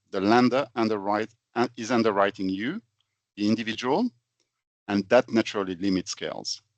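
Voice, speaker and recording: With a French accent, a man speaks at a moderate pace and a fairly low pitch, his intonation fairly even, with long, frequent pauses, the sound dry and close with no echo against a quiet background. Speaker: finance consultant, company founder. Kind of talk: webinar presentation. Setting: online webinar.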